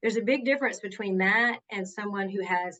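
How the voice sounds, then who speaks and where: A woman's medium-pitched voice with a Southern US accent. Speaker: workplace justice advocate. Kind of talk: interview. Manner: conversational.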